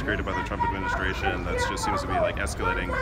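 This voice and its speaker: Clear background music behind a man's speech. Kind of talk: interview answer. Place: street. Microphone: lapel.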